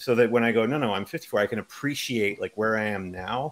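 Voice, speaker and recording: In a normal speaking voice, a man talks at a fairly quick pace and medium pitch, with ordinary pitch variation. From Canada. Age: 50s. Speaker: fantasy author. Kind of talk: casual interview.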